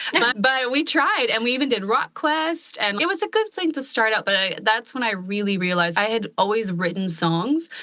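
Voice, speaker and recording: Over noticeable background noise, a woman with an American accent talks at a moderate pace with hardly any pauses and very wide pitch swings. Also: fairly high pitch for a woman. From US Pacific Northwest, Portland, Oregon. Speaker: country pop singer-songwriter. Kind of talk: casual podcast interview.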